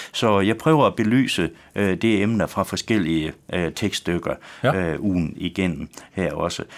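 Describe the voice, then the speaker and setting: A man with a West Jutland accent talks at a fairly slow pace, his fairly low voice rising and falling in an ordinary way. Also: very clean recording, silent background. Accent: West Jutlandic Danish. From West Jutland, Denmark. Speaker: pastor. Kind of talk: radio interview. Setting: radio studio. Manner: halting.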